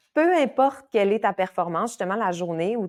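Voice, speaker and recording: Her pitch swings very widely as a woman speaks at a moderate pace in a dry, close sound with no echo. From Quebec, Saguenay. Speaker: kinesiologist and yoga teacher. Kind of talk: casual podcast interview. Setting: podcast recording. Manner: animated, with frequent fillers and repetitions.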